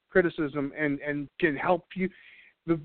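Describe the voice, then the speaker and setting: Pitched fairly high, a man talks in a normal speaking voice with ordinary pitch variation. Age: 30s. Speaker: radio show host. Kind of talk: casual chat.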